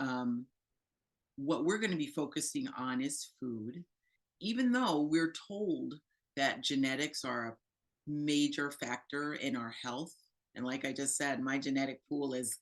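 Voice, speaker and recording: A woman speaks at a fairly slow pace in a very deep, low pitch. Her intonation is lively. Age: 60s. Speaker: plant-based nutrition presenter, medical professional. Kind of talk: educational presentation. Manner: conversational with fillers.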